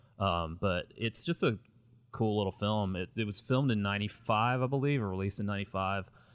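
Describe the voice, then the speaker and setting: A plain, everyday voice, moderately paced, pitch varying in an ordinary way, on a very clean recording over a silent background. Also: man, fairly low pitch for a man. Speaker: film podcast co-host. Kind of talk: casual chat. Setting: home room with movie shelves.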